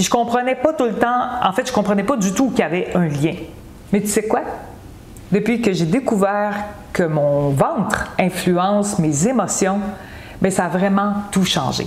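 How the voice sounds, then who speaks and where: At a fairly slow pace, a woman of medium pitch speaks with lively intonation and very even loudness, with audible room echo and noticeable background noise. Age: 60s. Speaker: wellness coach. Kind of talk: health advice video. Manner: casual, conversational.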